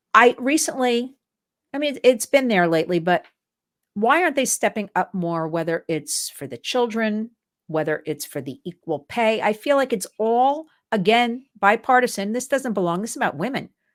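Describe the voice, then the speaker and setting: A woman's fairly high voice makes very wide pitch swings at a moderate pace. The sound is dry and close with no echo, a very clean recording with a silent background. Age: 60s. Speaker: advocacy show host. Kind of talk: interview chat. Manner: animated.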